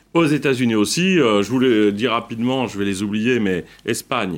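A very clean recording with a silent background, featuring a man at a moderate pace. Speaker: founder of a consumer food brand. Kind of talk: debate interview.

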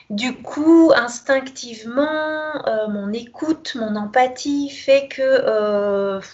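The pitch of this woman's voice is high. It varies in an ordinary way. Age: 40s. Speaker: kinesiologist. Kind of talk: interview. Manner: hesitant, many fillers.

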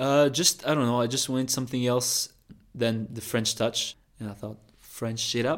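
The man speaks at a very slow pace with fairly even intonation. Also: medium pitch for a man. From France. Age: 20s. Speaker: content creator and former college tennis player. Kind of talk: interview. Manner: casual with frequent fillers.

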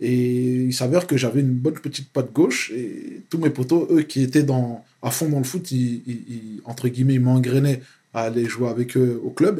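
A man speaks at a moderate pace and a medium pitch. His voice is somewhat breathy, with ordinary pitch variation. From France, Paris suburbs (Val-d'Oise). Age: 30s. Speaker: activist. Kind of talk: casual interview.

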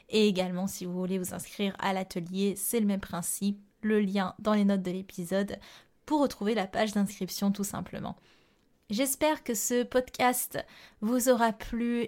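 At a fairly slow pace with ordinary pitch variation, the voice comes through a very clean recording with a silent background. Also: woman, medium pitch for a woman. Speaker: yoga therapist and astrologer podcast host. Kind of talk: solo podcast monologue. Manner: clear and precise.

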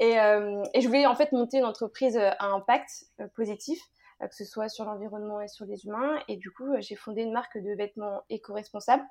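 Over a quiet background, a woman with a plain, everyday voice speaks at a moderate pace, her fairly high pitch showing ordinary pitch variation and big swings in loudness. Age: 20s. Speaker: fashion brand founder. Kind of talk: interview.

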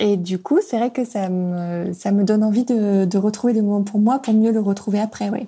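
A woman speaks at a medium pitch and a moderate pace with hardly any pauses. Her voice is somewhat breathy and dark and mellow in tone, with fairly even intonation. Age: 30s. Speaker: podcast guest sharing her relationship. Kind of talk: personal testimony. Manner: halting, many hesitations.

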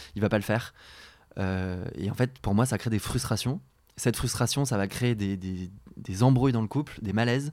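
A man speaks at a medium pitch and a moderate pace with ordinary pitch variation. The recording is very clean, with a silent background. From France, rural Beaujolais. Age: 20s. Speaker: podcast guest. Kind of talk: casual chat. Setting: at the host's home. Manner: hesitant, many fillers.

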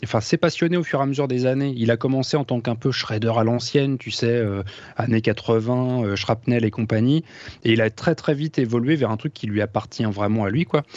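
A man speaks in a normal speaking voice at a medium pitch, fairly quick in pace, with ordinary pitch variation. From France. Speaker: guitarist. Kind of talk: casual chat.

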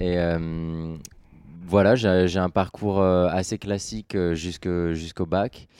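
A man with a very deep, low pitch and a dark, mellow tone speaks in a flat monotone. His pace is very slow against a quiet background. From France, Orléans. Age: 20s. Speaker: adventurer, long-distance walker. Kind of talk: interview. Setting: studio, in person.

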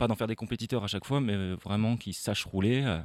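A man speaks with a fairly low pitch at a fairly quick pace. His intonation is fairly even. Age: young. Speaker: mountain bike instructor. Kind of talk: live interview. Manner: halting.

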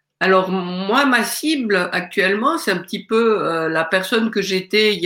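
A woman talks fairly slowly. Her intonation sounds lively. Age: middle-aged. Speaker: aspiring coach, mother. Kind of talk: testimony. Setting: video call.

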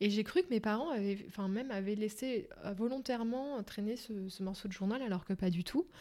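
Fairly quick and fairly high in pitch, a woman talks in a dark, mellow tone with ordinary pitch variation. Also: very clean recording, silent background. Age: 30s. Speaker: journalist and author. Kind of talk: casual chat.

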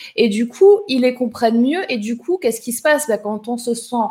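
This is a woman's voice. Her pitch is high. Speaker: live show host. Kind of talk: interactive live show. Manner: animated.

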